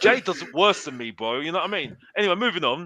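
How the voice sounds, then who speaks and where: Noticeable background noise surrounds this man's voice. He talks at a very fast pace with a high pitch. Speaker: football pundit. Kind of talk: heated debate. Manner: animated; halting, repetitive.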